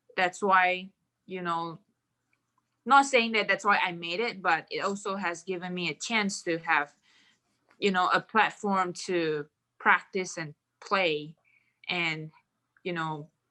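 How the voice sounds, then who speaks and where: A woman with a Mandarin accent speaks at medium pitch in a bright, sharp tone with ordinary pitch variation. Her pace is very slow with long, frequent pauses, on a very clean recording with a silent background. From Malaysia. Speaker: professional golfer. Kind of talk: podcast interview.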